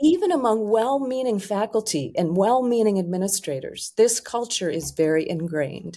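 A dark, mellow tone with very wide pitch swings and hardly any pauses. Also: woman, fairly high pitch for a woman, moderate pace. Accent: American. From US Northeast, Rochester, New York. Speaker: life coach. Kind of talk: casual interview.

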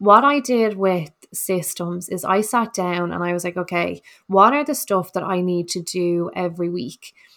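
A woman's medium-pitched voice, an unremarkable speaking voice, with ordinary pitch variation and a moderate pace, on a very clean recording with a silent background. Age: 30s. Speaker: podcast host, nurse and wellness coach. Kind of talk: casual solo podcast talk.

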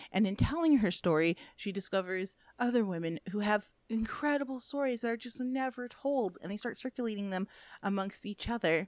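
A woman with an American accent, fairly high in pitch, at a fairly quick pace with lively intonation and a dry, close sound with no echo. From US Midwest. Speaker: film critic. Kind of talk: casual chat. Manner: animated.

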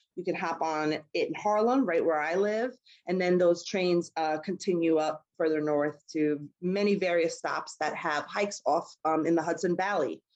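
Woman with a New York accent and a fairly low pitch, ordinary pitch variation, moderate pace and hardly any pauses. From New York City, Queens. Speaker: outdoor travel company founder. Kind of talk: casual interview.

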